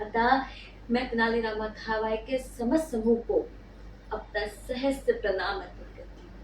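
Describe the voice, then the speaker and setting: A woman speaks with a Bengali accent. Her loudness swings widely, and background noise is noticeable. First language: Bengali (speaking Hindi). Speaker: YouTuber. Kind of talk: scripted monologue. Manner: formal.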